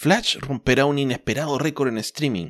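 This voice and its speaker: Speaking at a fairly slow pace in a Chilean accent, a man is heard in a very clean recording with a silent background. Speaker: comics podcast host. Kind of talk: casual chat.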